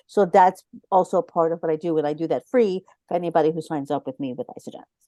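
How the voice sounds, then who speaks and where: In a New York accent, a woman talks very fast at a fairly low pitch with a dark, mellow tone, ordinary pitch variation and big swings in loudness, recorded dry and close with no echo. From Brooklyn, New York. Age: 50s. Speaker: wellness consultant and coach. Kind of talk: podcast interview. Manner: energetic.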